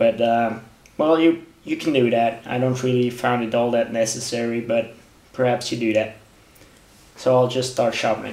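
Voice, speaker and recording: Against noticeable background noise, a man speaks with fairly even intonation and long, frequent pauses. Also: medium pitch for a man, moderate pace. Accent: non-native. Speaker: knife sharpening hobbyist. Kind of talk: tutorial. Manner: halting, many fillers.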